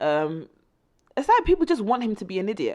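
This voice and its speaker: Over a quiet background, a woman speaks with an English accent. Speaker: music news presenter. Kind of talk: casual news commentary. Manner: hesitant, many fillers.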